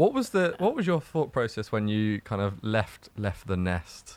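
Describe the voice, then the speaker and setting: A man with an unremarkable speaking voice, moderate pace and ordinary pitch variation, in a very clean recording against a silent background. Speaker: podcast co-host. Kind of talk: casual chat.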